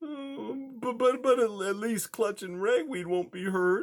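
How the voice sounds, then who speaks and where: Rather slowly, the speaker delivers lines in a put-on character voice. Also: man, high pitch for a man. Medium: read story. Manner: stammering, frightened.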